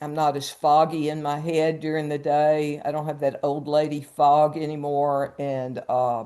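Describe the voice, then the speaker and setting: Against a quiet background, a woman speaks at a very slow pace. Her voice is very deep and low, with a dark, mellow tone. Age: 70s. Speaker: health program client. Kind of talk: testimony. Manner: halting.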